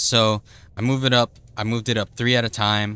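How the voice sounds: A man's voice booms with a fairly bright tone.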